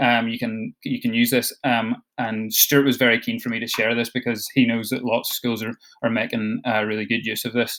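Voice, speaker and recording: A man's medium-pitched voice in a Scottish accent, monotone and flat, at a fairly quick pace. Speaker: education support officer for digital learning. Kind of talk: online training session. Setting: video call. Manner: fast; hesitant, many fillers.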